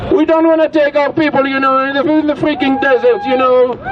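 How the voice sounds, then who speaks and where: A man's extremely high-pitched voice against noticeable background noise. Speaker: political speaker. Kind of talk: rally speech. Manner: animated.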